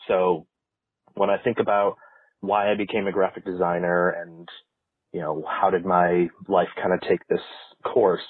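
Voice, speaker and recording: A man speaking at a moderate pace. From Ohio, US. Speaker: graphic designer, listener. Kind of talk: voice message story.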